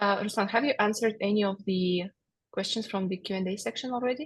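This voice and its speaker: A woman talks at medium pitch with a somewhat breathy voice. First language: not English. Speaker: HR generalist, webinar co-presenter. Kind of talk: webinar Q&A. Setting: video call. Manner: halting, many fillers.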